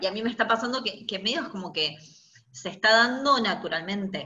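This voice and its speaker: Speaking in a Rioplatense accent at a moderate pace, a woman of medium pitch uses lively intonation with big swings in loudness. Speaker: podcast host, fashion designer. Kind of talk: interview.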